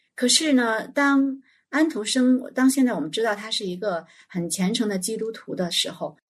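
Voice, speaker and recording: Against a quiet background, a woman talks at a moderate pace in a somewhat breathy voice. Her pitch is fairly high and her intonation lively. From China, small county town. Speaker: children's educator. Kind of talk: casual chat.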